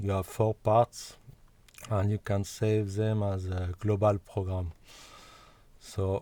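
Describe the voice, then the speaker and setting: In a non-native accent, a man with a fairly low pitch and a dark, mellow tone speaks at a very slow pace with monotone, flat intonation, in a dry, close sound with no echo on a very clean recording with a silent background. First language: not English. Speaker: music software developer. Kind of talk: tutorial. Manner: halting.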